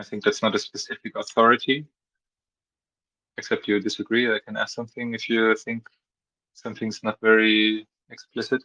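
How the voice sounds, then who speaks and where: A man with a non-native accent speaks at a moderate pace, leaving long, frequent pauses. The sound is dry and close, with no echo. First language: not English. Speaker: meeting facilitator. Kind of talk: community meeting discussion.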